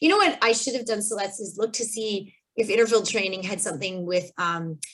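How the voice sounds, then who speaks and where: At a fairly quick pace, a woman with a Canadian accent and a plain, everyday voice speaks at medium pitch with ordinary pitch variation. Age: 40s. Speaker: kinesiologist. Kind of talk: webinar presentation. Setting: video call. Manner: casual.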